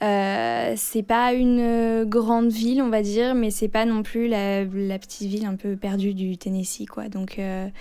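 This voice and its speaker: A woman speaks at a fairly slow pace with hardly any pauses, her medium-pitched voice dark and mellow in tone and monotone in its flat intonation, on a very clean recording with a silent background. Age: 20s. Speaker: former exchange student. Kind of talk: interview. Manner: hesitant, many fillers.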